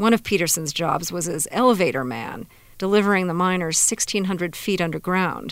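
A woman with a plain, everyday voice, fairly low pitch, ordinary pitch variation and moderate pace on a very clean recording with a silent background. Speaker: radio producer reporter. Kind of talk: scripted narration.

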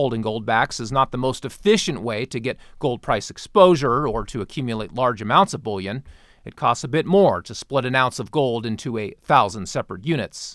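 A man's plain, everyday voice: a plain, everyday voice at medium pitch, fairly quick, with lively intonation and big swings in loudness. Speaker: podcast host. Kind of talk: sales pitch; market wrap news reading. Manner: brisk, upbeat pitchman patter; polished, formal.

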